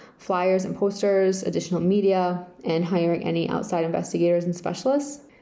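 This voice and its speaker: Audible room echo hangs around a woman speaking in an American accent with fairly even intonation. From Rhode Island, US. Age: 30s. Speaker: victim's daughter and advocate. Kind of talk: prepared personal statement.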